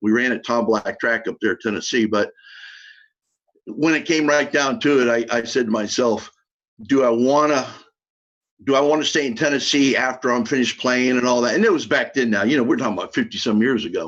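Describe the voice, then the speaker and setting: Speaking at a fairly quick pace with an American accent, a man keeps a medium pitch and ordinary pitch variation. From US South, Miami, South Florida. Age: 60s. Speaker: former college football player. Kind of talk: interview.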